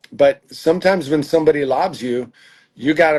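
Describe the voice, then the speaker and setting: A plain, everyday voice from a man, moderate in pace, fairly high in pitch, and with ordinary pitch variation. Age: 60s. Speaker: tennis coach. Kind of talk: interview.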